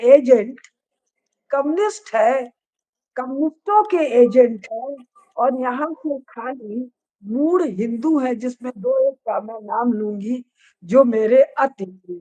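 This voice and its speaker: Recorded with a dry, close sound and no echo, a woman speaks at a high pitch. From eastern Uttar Pradesh, India (Padrauna). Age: 70s. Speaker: professor and religious scholar. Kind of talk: discussion on a live video session. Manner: animated.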